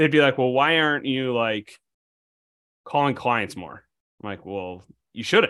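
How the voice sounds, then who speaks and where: With an American accent, a man speaks in a bright, sharp tone and ordinary pitch variation. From Illinois. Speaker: bankruptcy attorney. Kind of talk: casual chat. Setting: video call.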